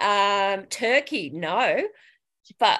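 A woman speaks in a bright, sharp tone with lively intonation. The background is quiet. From Australia, Sydney northern beaches. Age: 50s. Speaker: dragon boat paddler, reality TV contestant. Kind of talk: casual interview.

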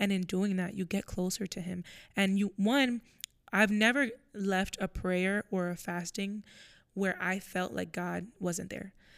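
A woman speaks in a normal speaking voice at a medium pitch and a fairly slow pace. Her intonation is fairly even, and the recording is very clean with a silent background. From Florida. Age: 20s. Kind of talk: casual faith chat.

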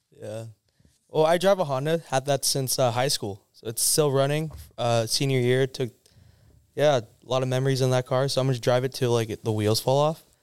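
A man with an American accent and an unremarkable speaking voice, medium pitch, ordinary pitch variation and a fairly quick pace, on a very clean recording with a silent background. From Southern California. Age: 20s. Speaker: car meet organizer. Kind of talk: casual chat. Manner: laughs often.

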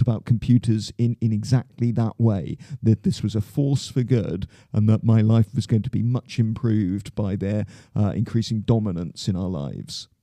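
A man with a dark, mellow tone and medium pitch speaks at a moderate pace with ordinary pitch variation, the sound dry and close with no echo. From southwest England (Plymouth, Devon). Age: 50s. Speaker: school headmaster. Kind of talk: interview. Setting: studio.

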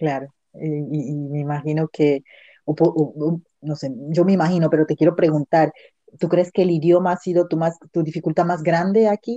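A woman speaks with a very deep, low pitch and a dark, mellow tone at a moderate pace. Her intonation is fairly even, the sound is dry and close with no echo, and the background is quiet. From Latin America. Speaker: podcast host. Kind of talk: casual interview chat.

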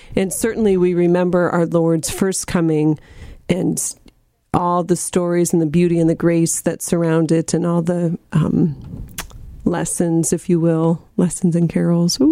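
A woman talks at a fairly slow pace in a fairly low pitch. Her intonation is monotone and flat. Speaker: radio co-host. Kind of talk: live radio talk show. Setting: studio.

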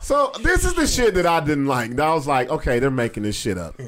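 A man speaks at a fairly quick pace with a fairly high pitch and very wide pitch swings. The recording is very clean, with a silent background. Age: 40s. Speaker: podcast host and comedian. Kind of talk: casual chat. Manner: animated.

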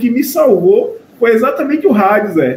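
A man with an extremely high pitch at a moderate pace, amid noticeable background noise. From Pernambuco interior, Brazil. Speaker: professor and Santa Cruz fan. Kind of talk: casual interview chat.

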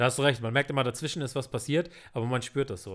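A man talks very fast in an animated tone on a very clean recording with a silent background. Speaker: film podcast co-host. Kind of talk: casual chat.

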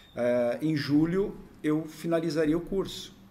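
A man speaks at a very slow pace with ordinary pitch variation, his voice carrying audible room echo. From western Santa Catarina, Brazil. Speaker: sports scientist and fitness coach. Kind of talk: interview.

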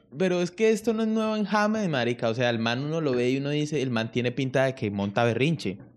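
With hardly any pauses, a man at medium pitch talks at a very fast pace, his pitch swinging very widely over a quiet background. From Colombia. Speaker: podcast host. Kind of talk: casual chat.

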